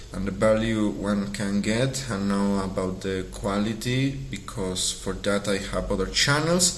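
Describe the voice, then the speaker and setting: Amid noticeable background noise and audible room echo, a man with a Spanish accent speaks at a fairly slow pace, using a fairly low pitch and lively intonation. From Mexico. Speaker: artist and vlogger. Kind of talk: casual vlog monologue. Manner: halting, with fillers.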